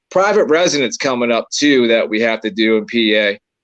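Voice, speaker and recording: A man with a Maryland accent talks at a moderate pace. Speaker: paranormal investigator. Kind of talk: casual chat.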